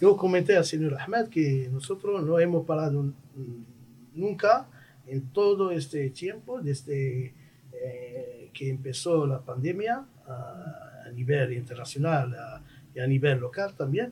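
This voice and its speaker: Fairly slow speech with long, frequent pauses and lively intonation over noticeable background noise. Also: man, fairly high pitch for a man. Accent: Moroccan. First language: Moroccan Arabic (speaking Spanish). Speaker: diplomat. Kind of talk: radio interview.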